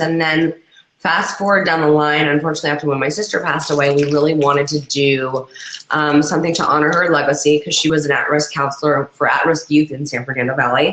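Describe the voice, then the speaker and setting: A woman's very deep, low voice at a very fast pace, with noticeable background noise. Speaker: social media professional, advisory board member. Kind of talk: casual interview.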